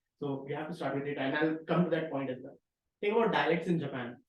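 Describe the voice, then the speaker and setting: Spoken in a Marathi accent, the speech runs at a very fast pace. Its intonation is fairly even. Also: man. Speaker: researcher presenting a tutorial. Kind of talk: tutorial.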